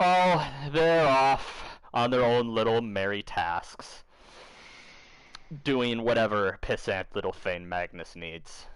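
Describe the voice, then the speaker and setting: Putting on a character voice, a man cackles at a very slow pace, his medium pitch making very wide swings against a quiet background. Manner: cackling, sneering.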